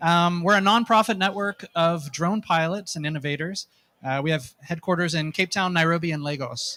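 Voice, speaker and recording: This man has a high pitch and a bright, sharp tone, with an American accent. He talks at a moderate pace with ordinary pitch variation, in a dry, close sound with no echo. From United States. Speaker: nonprofit drone network representative. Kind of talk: conference presentation. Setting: stage with audience. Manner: hesitant, many fillers.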